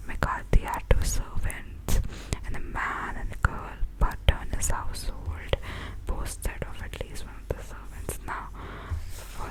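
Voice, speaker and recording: A woman whispers fairly slowly while noticeable noise runs in the background. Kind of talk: whispered ASMR book reading. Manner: whispered, soft-spoken.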